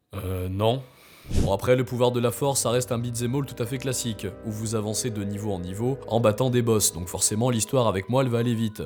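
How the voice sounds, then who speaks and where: With music playing behind him, a man talks at a fairly quick pace, his medium-pitched voice held to fairly even intonation. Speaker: video game storyteller. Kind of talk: video game history narration. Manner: casual, conversational.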